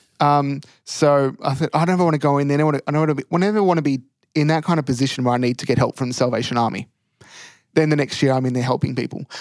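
A fairly high-pitched man with an Australian accent at a very fast pace, fairly even intonation and long, frequent pauses, on a very clean recording with a silent background. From Australia, country Victoria. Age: 20s. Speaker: first-year officer cadet. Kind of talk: casual interview. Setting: prayer room at a training college.

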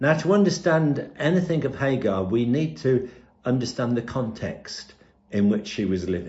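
A man speaks at a medium pitch with very wide swings in pitch and a somewhat breathy quality. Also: moderate pace. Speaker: preacher. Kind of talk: sermon. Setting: pre-recorded video.

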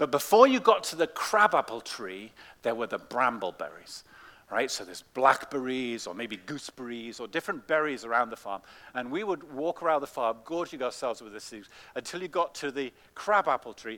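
A man with an English accent, medium in pitch, bright and sharp in tone, moving at a fairly quick pace through very wide pitch swings. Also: very clean recording, silent background. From England. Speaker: pastor. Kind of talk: children's talk; sermon. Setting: church. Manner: animated.

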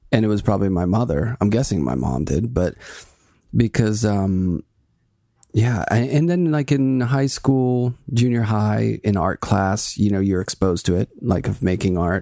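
At a moderate pace, a man with an American accent talks in a fairly low, dark, mellow voice with lively intonation, recorded very cleanly against a silent background. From Pittsburgh, US. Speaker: artist and professor. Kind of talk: casual interview chat.

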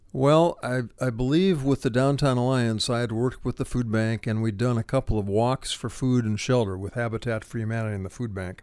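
A man speaks in an unremarkable speaking voice at a medium pitch, with ordinary pitch variation. His pace is fairly quick, with hardly any pauses. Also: quiet background. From Ohio, between Akron and Cleveland. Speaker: retired nonprofit director and writer. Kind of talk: interview. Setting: studio.

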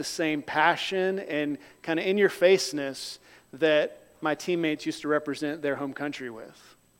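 An ordinary speaking voice from a man with an American accent, fairly high in pitch, at a moderate pace with fairly even intonation. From North Carolina, US South. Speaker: missionary preacher. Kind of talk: sermon. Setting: church. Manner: conversational.

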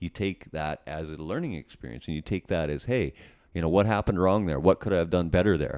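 Speaking at a very fast pace, a man with a Canadian accent uses a very deep, low pitch with vocal fry. The background is quiet, and the sound is dry and close with no echo. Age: 50s. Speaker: rock band drummer. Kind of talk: casual interview chat.

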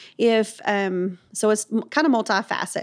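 A woman talks at a medium pitch in a normal speaking voice. The recording is very clean, with a silent background. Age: 40s. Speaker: founder of homeless ministry nonprofit. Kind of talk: faith-based interview.

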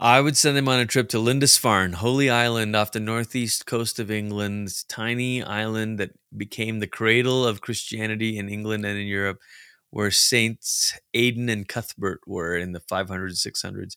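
The recording is very clean with a silent background and a dry, close sound with no echo. A man with a medium pitch and a bright, sharp tone speaks at a moderate pace with fairly even intonation. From Malaysia. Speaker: pastor and researcher. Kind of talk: interview.

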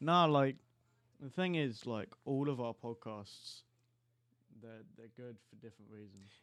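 A man with an English accent at a medium pitch, ordinary pitch variation, big swings in loudness and a fairly slow pace with long, frequent pauses, on a very clean recording with a silent background. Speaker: podcast host. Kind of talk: casual chat. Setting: studio.

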